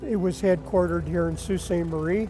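A man talks over clear music in the background. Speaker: volunteer museum tour guide. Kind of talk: interview answer. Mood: warm, enthusiastic. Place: hall. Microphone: lapel.

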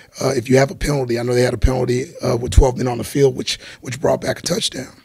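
Very fast and at a medium pitch, a man delivers his words with fairly even intonation against noticeable background noise. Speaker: college football head coach. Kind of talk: press conference. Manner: quiet, can't speak up; halting, with fillers and repetitions.

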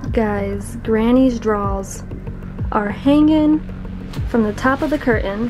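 Very slow speech by a woman over faint background music. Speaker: urban explorer vlogger. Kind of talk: casual vlog commentary. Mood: disgusted, amused, nervous. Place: home room. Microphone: phone near.

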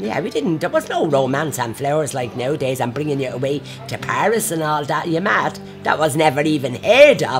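Backed by clear music, a woman with a very deep, low pitch speaks at a fairly quick pace with lively intonation. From Ireland. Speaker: interviewee. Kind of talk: interview answer. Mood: lively, amused. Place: bar.

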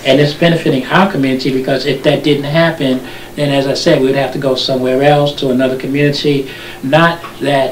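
Amid noticeable background noise and audible room echo, a man with an American accent and a fairly high pitch talks at a fairly quick pace with fairly even intonation. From Newark, New Jersey. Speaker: local TV show host. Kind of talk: casual interview.

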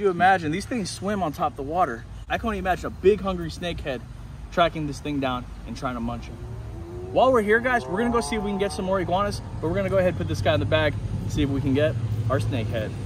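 A man talks at a very fast clip, the sound dry with no echo and noticeable noise in the background. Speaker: iguana hunter vlogger. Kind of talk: casual vlog chat. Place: street. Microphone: phone near.

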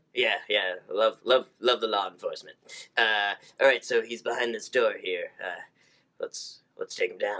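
A man's cartoonish character voice at a moderate pace. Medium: puppet.

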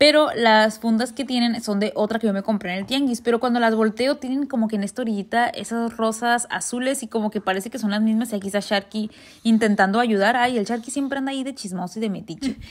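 A woman with a northern Mexican accent speaks at a very fast pace, with hardly any pauses. Her pitch is fairly high and her intonation fairly even. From northern Mexico. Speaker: lifestyle vlogger. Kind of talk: vlog narration. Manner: blunt, forceful delivery; halting, stumbles over words.

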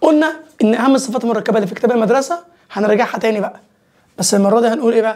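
A man talks at a very fast pace and an extremely high pitch. His pitch varies in an ordinary way over a quiet background. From Egypt. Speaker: English teacher. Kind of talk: lecture. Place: studio. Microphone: lapel.

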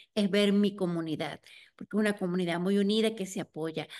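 A woman speaks at a fairly quick pace in a monotone, flat intonation. The background is quiet. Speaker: interviewer, community storytelling series host. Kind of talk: interview. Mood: warm, smiling. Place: home room. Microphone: video call.

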